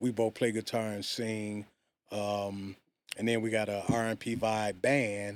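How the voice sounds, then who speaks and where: A man's fairly low voice with an American accent, flat monotone intonation and a fairly slow pace, on a very clean recording with a silent background. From Detroit, US Midwest. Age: 60s. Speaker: vocalist. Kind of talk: casual chat.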